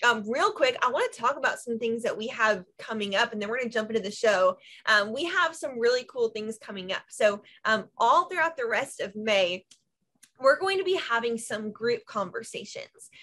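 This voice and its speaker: Against a quiet background, a woman speaks at a moderate pace and a fairly high pitch. Her tone is bright and sharp, her intonation lively. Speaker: ministry leader and show host. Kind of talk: casual chat. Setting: video call. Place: home room. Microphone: video call.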